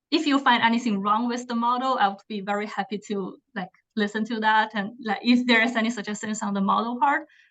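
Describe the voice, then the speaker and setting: A woman speaks with a non-native accent. Her fairly high pitch follows fairly even intonation. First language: not English. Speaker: PhD student presenter. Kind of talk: academic seminar presentation.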